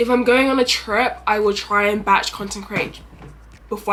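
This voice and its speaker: With music playing in the background, a woman speaks in a London accent with fairly even intonation. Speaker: travel content creator. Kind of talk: vlog Q&A. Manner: fast.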